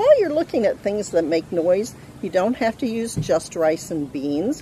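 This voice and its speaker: A woman's voice with very wide pitch swings, at a fairly slow pace, dry and echo-free, over light background noise. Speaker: craft instructor for children. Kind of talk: tutorial. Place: garden. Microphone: camera far.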